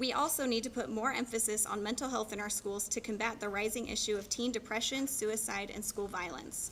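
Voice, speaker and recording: A woman talks at a fairly quick pace with a fairly high pitch and ordinary pitch variation. Noticeable background noise runs under her voice. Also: hardly any pauses. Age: 30s. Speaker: political candidate. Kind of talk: campaign speech.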